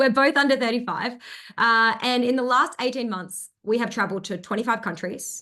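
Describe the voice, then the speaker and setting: A woman with a bright, sharp tone talks at a fairly quick pace with ordinary pitch variation. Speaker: business coach. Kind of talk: webinar presentation. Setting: live stream with chat. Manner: fast.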